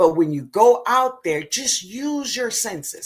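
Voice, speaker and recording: In a very clean recording with a silent background, a woman speaks in an animated tone with very wide pitch swings. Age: 60s. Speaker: gardening channel host. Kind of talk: live stream chat. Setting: live video stream.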